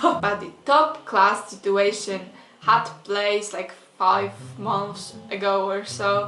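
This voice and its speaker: With noticeable background noise behind her, a woman speaks at medium pitch with a Polish accent. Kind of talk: casual storytime rant to camera.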